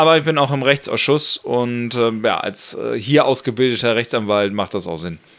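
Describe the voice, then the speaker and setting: A man speaks in an ordinary speaking voice at medium pitch with ordinary pitch variation. His pace is moderate, with hardly any pauses. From northern Germany (Lower Saxony, Buxtehude). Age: 30s. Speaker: politician (member of European Parliament). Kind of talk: casual interview. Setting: home kitchen studio.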